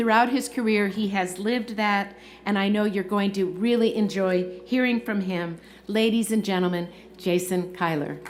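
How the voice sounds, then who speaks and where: The voice holds a very even loudness and fairly even intonation. Audible room echo and noticeable background noise surround it. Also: woman, medium pitch for a woman. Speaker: university leader presiding over commencement. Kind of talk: ceremonial speech. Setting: stadium with audience. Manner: fast.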